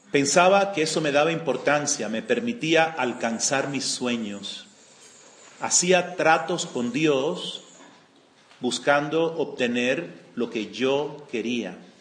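With lively intonation and audible room echo, a man of fairly high pitch speaks at a very slow pace. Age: 60s. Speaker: retreat speaker giving a spiritual talk. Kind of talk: spiritual testimony.

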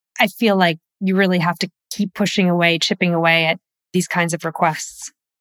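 At a fairly quick pace, a woman with a normal speaking voice talks in a fairly low pitch and fairly even intonation, her dry, close sound with no echo set against a very clean recording with a silent background. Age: 40s. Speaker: founder of online finance courses, former attorney. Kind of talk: interview. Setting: virtual studio.

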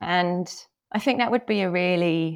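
Fairly low-pitched with vocal fry, a woman's voice comes through on a very clean recording with a silent background. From England. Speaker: healthcare marketing executive. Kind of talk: interview conversation.

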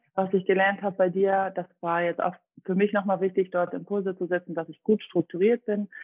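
A woman has an ordinary speaking voice at medium pitch. She talks at a fairly quick pace with fairly even intonation. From Dresden, Saxony (eastern Germany). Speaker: personal trainer, former competitive athlete. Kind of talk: podcast interview.

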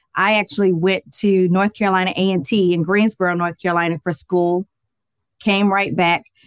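A woman with a plain, everyday voice at medium pitch, with an American accent, fairly even intonation, very even loudness and a moderate pace, in a very clean recording with a silent background and a dry, close sound with no echo. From US South, Atlanta, Georgia. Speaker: finance educator and accountant. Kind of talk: interview.

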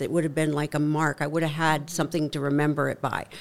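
She speaks at a fairly quick pace in a very deep, low pitch, her intonation monotone and flat, with vocal fry throughout. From Canada. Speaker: author, speaker and HR consultant. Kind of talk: interview conversation.

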